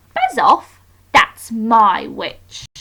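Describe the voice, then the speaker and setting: A woman's put-on character voice, croaky, growling and shrill, at a fairly high pitch. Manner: gruff, aggressive.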